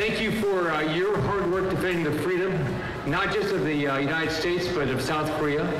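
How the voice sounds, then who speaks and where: A man's high voice at very even loudness, with audible room echo and noticeable background noise. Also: ordinary pitch variation. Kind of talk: public speech. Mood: warm, grateful, light humor. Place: stage. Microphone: handheld.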